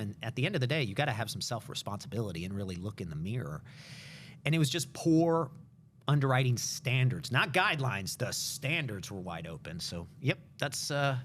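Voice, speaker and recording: Vocal fry marks a man's medium-pitched voice as he talks at a fairly quick pace, recorded very cleanly against a silent background. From US, Cuban immigrant family. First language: Spanish. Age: 40s. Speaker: mortgage company executive. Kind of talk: interview.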